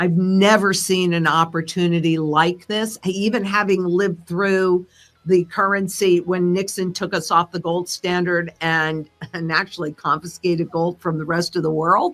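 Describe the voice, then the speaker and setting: A woman's fairly low-pitched voice in a monotone, flat intonation at a moderate pace. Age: 70s. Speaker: precious metals analyst. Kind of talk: interview. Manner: casual, with fillers.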